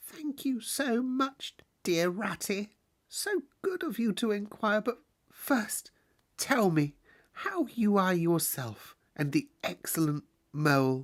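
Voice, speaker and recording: A put-on character voice uses a fairly high pitch with very wide pitch swings at a fairly slow pace. The recording is very clean with a silent background. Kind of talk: polite, formal, old-fashioned English.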